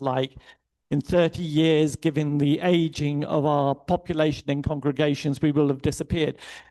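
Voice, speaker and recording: The voice has a dark, mellow tone and an English accent. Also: man. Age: 60s. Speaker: theologian and keynote speaker. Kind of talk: keynote speech. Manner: conversational, hesitant fillers.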